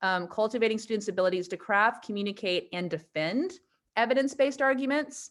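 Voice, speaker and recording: This woman has an unremarkable speaking voice, fairly high in pitch, with lively intonation at a fairly quick pace. The recording is very clean, with a silent background. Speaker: teacher. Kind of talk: information session for parents.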